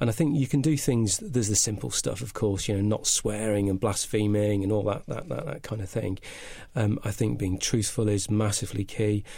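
On a very clean recording with a silent background, a man with a slight northern English accent talks at a fairly quick pace. His fairly low voice has a dark, mellow tone and is somewhat breathy. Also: ordinary pitch variation. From northern England. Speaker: business consultant. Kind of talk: casual interview. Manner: halting, hesitant.

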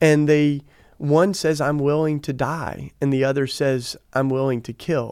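With an American accent, the speaker keeps a fairly slow pace and fairly even intonation. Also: man, fairly high pitch for a man. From US South. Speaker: activist and author. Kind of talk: interview conversation. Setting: studio, in person.

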